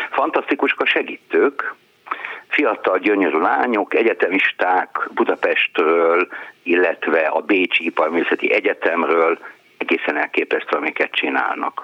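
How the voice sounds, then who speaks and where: A man at a very slow pace, with very even loudness and noticeable background noise. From eastern Hungary. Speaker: book publisher. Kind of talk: call-in chat.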